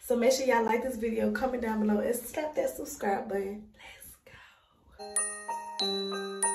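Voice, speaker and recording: Over clear background music, a woman speaks at a fairly slow pace with ordinary pitch variation and audible room echo. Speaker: mom vlogger. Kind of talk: casual vlog chat. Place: home room. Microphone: phone near.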